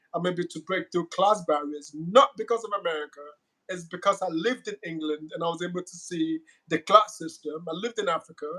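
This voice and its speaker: A man speaks at a high pitch in a bright, sharp tone, with ordinary pitch variation and a fairly quick pace. His loudness swings widely, and the sound is dry and close with no echo. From Nigeria, Lagos. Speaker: guest on a cultural talk show. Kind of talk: casual conversation.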